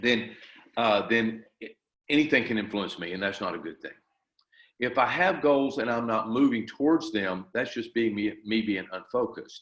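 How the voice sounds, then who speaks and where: A man with a plain, everyday voice, medium pitch, ordinary pitch variation and a moderate pace. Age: 60s. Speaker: martial arts grandmaster and school owner. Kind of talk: interview.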